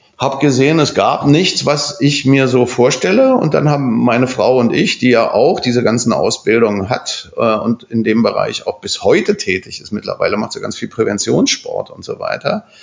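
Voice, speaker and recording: Hardly pausing at all, a man talks at a moderate pace with noticeable background noise. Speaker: architect. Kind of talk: casual chat. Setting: office.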